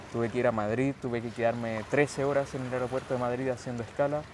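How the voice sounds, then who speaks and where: Noticeable background noise sits behind a man talking at a fairly quick pace. His medium-pitched voice has monotone, flat intonation. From Chile, Santiago. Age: 20s. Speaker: calisthenics athlete. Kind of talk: interview.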